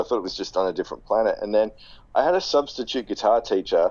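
Very fast speech from a man in an Australian accent. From Sydney, Australia. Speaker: guitarist and guitar teacher. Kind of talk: casual interview.

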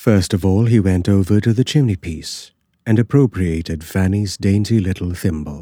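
A man's ordinary speaking voice, fairly low in pitch, with ordinary pitch variation. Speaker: audiobook narrator. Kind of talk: scripted horror story narration, reading aloud. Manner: hushed, slow, suspenseful, eerie.

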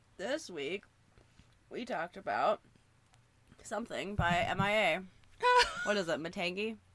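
Over noticeable background noise, a woman with a medium pitch speaks at a fairly slow pace with lively intonation. She takes long, frequent pauses. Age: 20s. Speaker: podcast co-host. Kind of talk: casual chat. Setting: remote recording.

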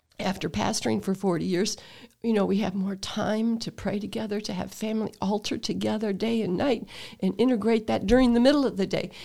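On a very clean recording with a silent background, a dark, mellow voice with vocal fry and an American accent moves at a fairly quick pace with ordinary pitch variation. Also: woman. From US Midwest, Toledo Ohio. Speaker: retired pastor. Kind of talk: casual chat.

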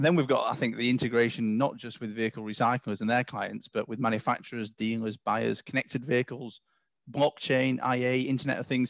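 An English accent at a fairly quick pace, with fairly even intonation, a dry, close sound with no echo and a quiet background. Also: man, medium pitch for a man. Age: 40s. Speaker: company CEO. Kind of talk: interview.

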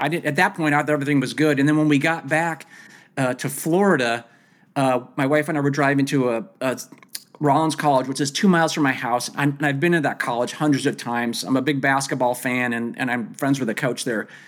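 A man with an unremarkable speaking voice talks at a fairly quick pace, with a fairly high pitch and ordinary pitch variation. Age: 50s. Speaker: triathlete with mild cognitive impairment. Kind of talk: casual interview.

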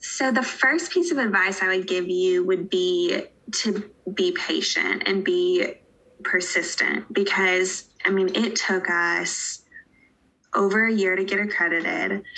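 A woman with an American accent speaks in a plain, everyday voice at a medium pitch. Her pace is fairly slow, her intonation fairly even, and her loudness very even. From Western North Carolina (Asheville). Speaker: pharmacist. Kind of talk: casual interview.

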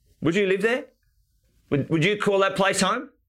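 A man with an Australian accent speaks in a raised, projected voice that is high-pitched for a man, with a bright, sharp tone. The recording is very clean, with a silent background. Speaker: property investment coach. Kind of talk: live stream chat with viewers. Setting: live stream. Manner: animated.

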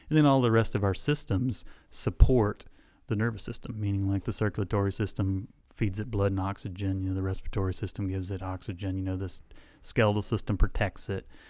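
A Southern US accent at a very fast pace with fairly even intonation, on a very clean recording with a silent background. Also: man, fairly low pitch for a man. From US South (South Alabama). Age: 40s. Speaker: chiropractor. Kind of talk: interview.

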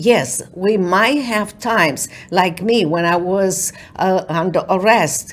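Spoken at a very slow pace with a Romanian accent, the voice shows ordinary pitch variation. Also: woman. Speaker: author, attorney and keynote speaker. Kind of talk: interview with inspirational talk. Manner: earnest, faith-driven.

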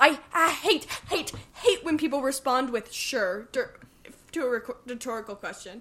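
The voice is raised and projected, with lively intonation. It moves at a moderate pace with long, frequent pauses. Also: woman, high pitch for a woman. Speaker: movie podcast co-host. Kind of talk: casual chat. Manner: loud.

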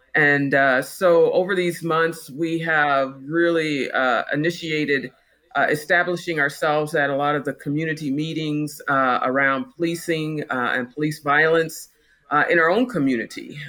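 In a very clean recording with a silent background, a woman speaks with a very deep, low pitch, ordinary pitch variation and a bright, sharp tone. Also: moderate pace. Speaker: pastor and district superintendent. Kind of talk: interview discussion.

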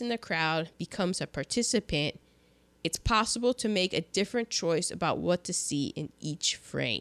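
Recorded very cleanly against a silent background, a woman with an unremarkable speaking voice talks at a moderate pace with lively intonation. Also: dry, close sound with no echo. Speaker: podcast host. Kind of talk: casual chat. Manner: chatty, jokey.

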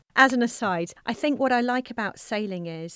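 A woman speaks with a southern English accent. The recording is very clean, with a silent background. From South Coast of England. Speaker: management consultant. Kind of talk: interview. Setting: studio.

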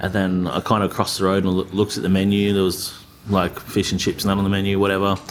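A man speaks very fast in a fairly low pitch, with monotone, flat intonation. His loudness stays very even, and noticeable background noise runs underneath. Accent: Australian. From Australia, North Queensland (Tully). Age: young. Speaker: chef and restaurateur. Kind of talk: casual interview chat.

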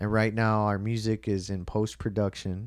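A man with an American accent and an unremarkable speaking voice talks at a moderate pace and a fairly low pitch. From Chicago, Illinois. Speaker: musician. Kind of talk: casual chat.

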